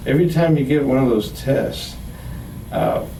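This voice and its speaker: Noticeable background noise runs under this recording of a man. Audible room echo surrounds his voice. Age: 60s. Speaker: heart patient giving testimonial. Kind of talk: testimony. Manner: halting, many fillers and repetitions.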